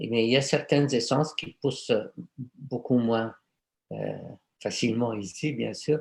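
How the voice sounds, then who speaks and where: A man with a medium-pitched voice and vocal fry talks at a very slow pace. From Egypt, Cairo. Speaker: aromatherapist. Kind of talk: conference talk and Q&A. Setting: video conference. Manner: hesitant, many fillers and repetitions.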